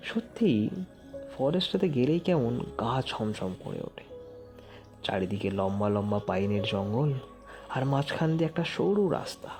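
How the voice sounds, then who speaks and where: A man at a medium pitch swings very widely up and down in pitch, with music playing in the background. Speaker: horror story narrator. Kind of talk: horror story narration, first-person.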